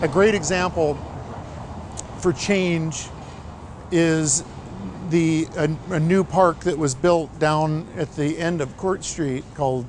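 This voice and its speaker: Speaking with an American accent at a very slow pace, the voice sounds relaxed, with fairly even intonation, long, frequent pauses and noticeable background noise. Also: man, fairly high pitch for a man. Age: 60s. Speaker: small-town mayor. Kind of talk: interview monologue. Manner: relaxed, with fillers.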